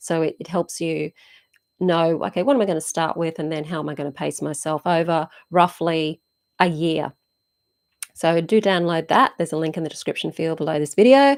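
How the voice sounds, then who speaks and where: Speaking at a fairly quick pace with an Australian accent, a woman uses a fairly low pitch and ordinary pitch variation on a very clean recording with a silent background. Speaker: witchcraft teacher and channel host. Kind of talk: live stream Q&A. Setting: YouTube live stream.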